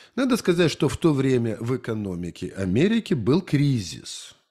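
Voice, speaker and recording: This man's voice has a dark, mellow tone and very wide pitch swings. He speaks at a moderate pace over a quiet background. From Ukraine, Kharkiv region; Ukraine. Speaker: history lecturer and activist; history lecturer, video host. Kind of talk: lecture. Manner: halting, with frequent filler sounds. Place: home room. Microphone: studio mic.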